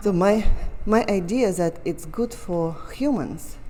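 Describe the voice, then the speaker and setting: A woman with a Russian accent speaks at a very slow pace, her pitch rising and falling in an ordinary way. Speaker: painter. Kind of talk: casual chat. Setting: art gallery.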